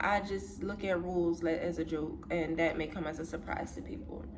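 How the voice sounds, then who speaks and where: Over noticeable background noise and audible room echo, a woman speaks in a relaxed tone at a moderate pace. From US Northeast, Philadelphia. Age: 20s. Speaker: content creator. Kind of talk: casual chat. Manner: relaxed, conversational.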